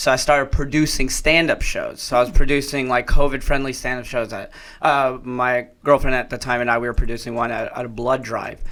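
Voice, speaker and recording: The speaker talks at a fairly quick pace with hardly any pauses, in an American accent. The tone is bright and sharp, and the intonation stays monotone and flat. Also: man, medium pitch for a man. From Texas, Dallas. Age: 20s. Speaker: stand-up comedian. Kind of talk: casual interview chat.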